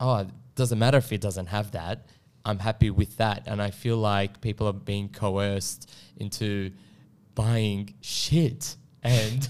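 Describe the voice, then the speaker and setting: A man with an Australian accent speaks in a fairly low voice with ordinary pitch variation. The recording is very clean, with a silent background. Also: fairly slow pace. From Australia, Melbourne. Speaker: property consultant. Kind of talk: casual interview. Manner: halting, many fillers and restarts.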